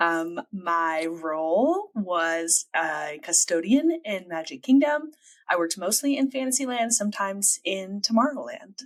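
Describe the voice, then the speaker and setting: A woman with a Midwestern US accent speaks at a fairly slow pace and medium pitch. Her pitch swings very widely. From US Midwest, Illinois. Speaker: podcast co-host. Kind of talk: casual chat.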